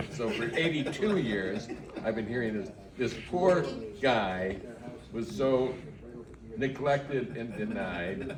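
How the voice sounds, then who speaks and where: Very slow, with long, frequent pauses and very wide pitch swings, a man speaks at medium pitch. Audible room echo and noticeable background noise are present. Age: 80s+. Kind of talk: casual chat.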